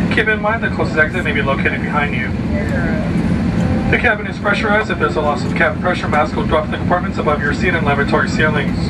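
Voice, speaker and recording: A man talking at a very fast pace with ordinary pitch variation amid loud background noise. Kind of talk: safety announcement. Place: plane.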